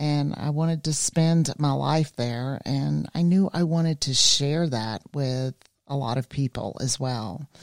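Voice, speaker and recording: A woman speaks with a very deep, low pitch in a Southern US accent. Her pace is fairly slow, and the sound is dry and close with no echo. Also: ordinary pitch variation. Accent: Southern US (Georgia). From US South, rural South Georgia. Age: 50s. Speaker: life coach and spiritual guide. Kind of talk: casual chat.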